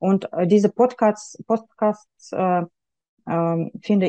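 A woman with a Russian accent speaks in a dark, mellow tone with ordinary pitch variation. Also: dry, close sound with no echo. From Russia, Yekaterinburg. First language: Russian (speaking German). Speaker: university graduate, mother. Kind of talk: interview. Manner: halting, non-native.

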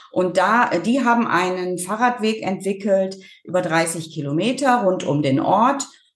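Speaking at a fairly slow pace, a woman uses lively intonation and very even loudness, with audible room echo around her. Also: medium pitch for a woman. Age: 50s. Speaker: farmer and rural women's association chair. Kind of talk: interview.

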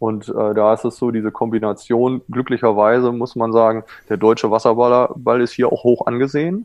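With fairly even intonation, this man talks at a moderate pace and a medium pitch. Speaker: water polo goalkeeping coach, former national team goalkeeper. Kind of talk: casual interview.

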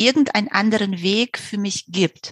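Somewhat breathy and fairly high-pitched, this woman's voice has ordinary pitch movement and a dry, close sound with no echo. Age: 40s. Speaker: novelist. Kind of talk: interview.

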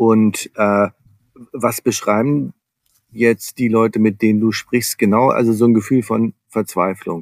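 At a very slow pace with long, frequent pauses, the voice keeps very even loudness and fairly even intonation in a dry, close sound with no echo. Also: man. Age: 50s. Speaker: business coach. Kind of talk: interview.

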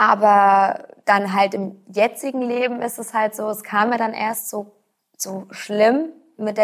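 Speaking very slowly, a woman with a fairly high voice keeps her intonation fairly even while her loudness swings widely. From Rhineland-Palatinate, Germany. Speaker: patient with rare disease. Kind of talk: interview. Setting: studio. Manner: halting, many fillers.

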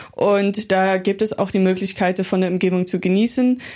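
A woman's dark, mellow voice at medium pitch stays in a monotone, flat intonation. She talks at a fairly slow pace on a very clean recording with a silent background. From Netherlands. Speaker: medical student. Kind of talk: casual interview. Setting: podcast studio.

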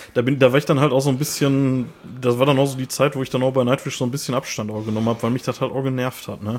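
Words pour out very fast, delivered with a monotone, flat intonation. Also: man, medium pitch for a man. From Ruhr area, Germany. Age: 30s. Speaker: metal podcast co-host. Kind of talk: casual chat. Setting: remote recording over headphones.

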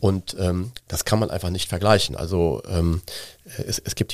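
Recorded dry and close with no echo, a man speaks at a moderate pace with a very deep, low pitch, a dark, mellow tone and ordinary pitch variation. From Cologne, Germany. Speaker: gin brand owner and marketing agency owner. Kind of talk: interview.

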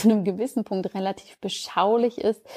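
A woman talks at a medium pitch with ordinary pitch variation and a dark, mellow tone. The recording is very clean, with a silent background. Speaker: podcast host, doctor and Ayurveda expert. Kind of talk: casual solo podcast monologue.

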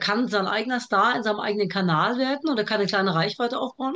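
Very fast in pace, a woman speaks with ordinary pitch variation. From Germany, with early childhood in Iraq. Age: 40s. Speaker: TV producer and author. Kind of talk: casual interview chat. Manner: talkative.

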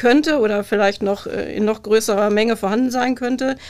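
At a moderate pace, a woman with a plain, everyday voice speaks at a fairly high pitch with fairly even intonation. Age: 50s. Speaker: police press officer. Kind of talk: casual chat.

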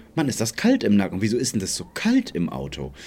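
A man's voice comes through here. It carries a dark, mellow tone. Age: 30s. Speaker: podcast co-host. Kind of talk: casual chat.

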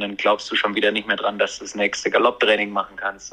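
Here is a man talking. His pace is very fast. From Germany. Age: 20s. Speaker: event rider. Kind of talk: interview.

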